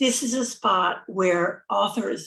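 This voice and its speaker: Creaky vocal fry in a female voice, its pitch rising and falling in the usual way. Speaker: event host. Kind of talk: livestream introduction. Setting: live video stream.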